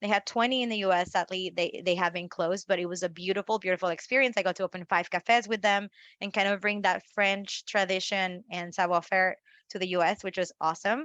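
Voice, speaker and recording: Speaking at a very fast pace, a woman uses a Spanish accent. Her pitch is medium and her intonation fairly even. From Mexico, northeast. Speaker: marketing expert. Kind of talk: interview.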